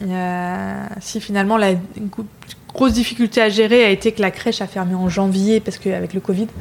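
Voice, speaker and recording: A woman speaks in a medium pitch with a monotone, flat intonation. Noticeable background noise runs beneath her. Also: moderate pace. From northern France, Lille. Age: 30s. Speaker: restaurant founder. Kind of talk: interview conversation. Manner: hesitant with many fillers.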